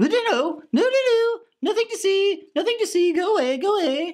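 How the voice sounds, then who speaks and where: This cartoonish character voice sits at an extremely high pitch. It is played fully as a cartoon act. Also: moderate pace. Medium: puppet. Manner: pompous, petulant.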